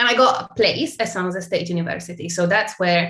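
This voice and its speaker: A woman speaks with an Italian accent and a fairly low pitch. Noticeable background noise runs behind her. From Italy. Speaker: tech brand partnerships marketer. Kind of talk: interview.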